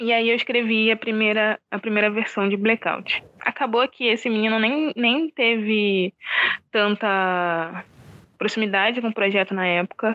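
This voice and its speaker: Fairly high in pitch, a woman speaks in a plain, everyday voice at a fairly slow pace. Her intonation is fairly even and her loudness very even. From Rio de Janeiro suburbs, Oswaldo Cruz. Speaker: film director. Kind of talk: interview. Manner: casual, slangy.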